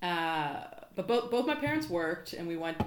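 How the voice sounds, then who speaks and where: A woman speaks with a fairly low pitch and ordinary pitch variation. Audible room echo surrounds her voice. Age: 30s. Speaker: podcast guest. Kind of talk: casual chat.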